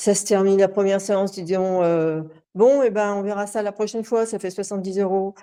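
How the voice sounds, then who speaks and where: A woman speaks at a medium pitch and a moderate pace in a dark, mellow tone. The background is quiet. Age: 60s. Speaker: coaching client giving testimony. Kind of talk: testimony interview. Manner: halting, many hesitations.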